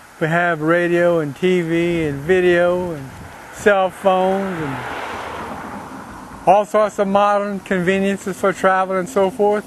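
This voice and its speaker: Noticeable background noise sits behind a man with a Cajun accent, whose high voice holds a fairly even intonation. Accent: Cajun Louisiana English. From Louisiana, Breaux Bridge (Cajun country). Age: 60s. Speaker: political activist. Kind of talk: monologue to camera.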